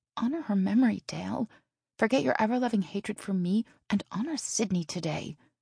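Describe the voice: Using a put-on character voice, a woman talks at a fairly quick pace with lively intonation, vocal fry, a husky, rough edge and a dark, mellow tone, in a dry, close sound with no echo on a very clean recording with a silent background. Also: medium pitch for a woman.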